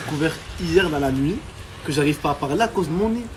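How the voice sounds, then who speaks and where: Someone talks very fast with a Marseille accent over noticeable background noise. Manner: speaks fast.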